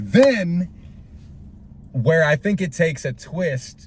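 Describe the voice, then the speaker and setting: Very wide pitch swings in a man's somewhat breathy voice. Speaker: movie reaction vlogger. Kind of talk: casual movie review monologue. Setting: in a car. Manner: halting, many fillers.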